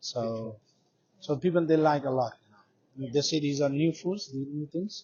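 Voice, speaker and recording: Pausing long and often, a man with a fairly high, somewhat breathy voice keeps a moderate pace and ordinary pitch variation. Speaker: street food trader. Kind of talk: interview. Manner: halting.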